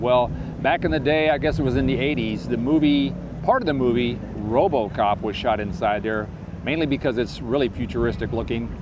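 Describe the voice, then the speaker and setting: Speaking at a fairly quick pace, a man with a medium-pitched voice shows ordinary pitch variation over noticeable background noise. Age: 60s. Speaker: YouTuber. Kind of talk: casual talk to camera. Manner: rambling, conversational.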